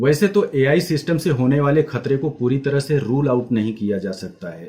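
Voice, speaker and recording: Somewhat breathy, a man speaks at a fairly high pitch in a dark, mellow tone. His intonation is lively. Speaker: graphic designer. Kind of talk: educational class talk to camera.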